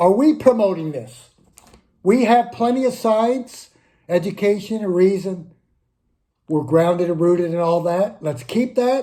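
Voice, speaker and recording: In a dark, mellow tone, the voice moves at a fairly slow pace with lively intonation and long, frequent pauses. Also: man, high pitch for a man. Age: 60s. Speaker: humanist video blogger. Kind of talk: casual monologue to camera.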